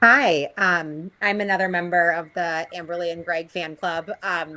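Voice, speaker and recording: A woman with a Boston accent, fairly low pitch and fairly even intonation at a fairly slow pace. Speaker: resident speaking at public hearing. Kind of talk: public comment at town meeting.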